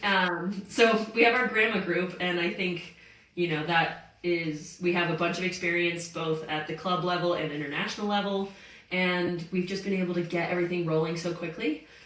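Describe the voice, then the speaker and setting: A woman with an American accent speaks at a fairly low pitch. Audible room echo and noticeable background noise surround her voice. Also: moderate pace. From US South, Greenville, South Carolina. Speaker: professional soccer player. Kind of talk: interview. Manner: animated.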